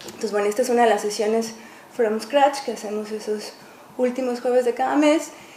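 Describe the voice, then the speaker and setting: At a fairly quick pace, a woman speaks with fairly high pitch. Her pitch variation is ordinary, and there is noticeable background noise. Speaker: artist and live coder. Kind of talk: public talk. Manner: fast.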